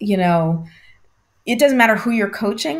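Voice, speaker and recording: A somewhat breathy woman's voice. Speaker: coach and coaching trainer. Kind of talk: interview conversation.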